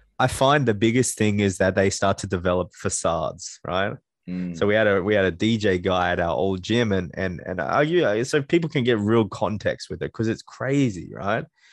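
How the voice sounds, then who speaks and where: A man's fairly low voice with lively intonation, at a moderate pace with hardly any pauses, against a quiet background. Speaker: podcast host. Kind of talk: casual interview chat.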